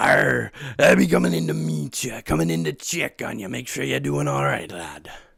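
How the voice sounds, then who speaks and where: At a moderate pace, the put-on character voice comes out raspy. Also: man, very deep, low pitch for a man. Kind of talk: pirate talk with arr and lad. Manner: friendly, checking in.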